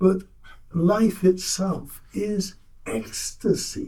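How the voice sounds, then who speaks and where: This is a man's voice. Its tone is dark and mellow. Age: 80s+. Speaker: audience member. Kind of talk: Q&A comment at a talk. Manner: halting, with false starts.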